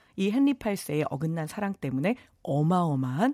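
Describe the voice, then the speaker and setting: On a very clean, dry and close recording with a silent background and no echo, a woman speaks at a moderate pace and a fairly low pitch, with very wide pitch swings. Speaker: Korean history lecturer. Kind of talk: radio history segment.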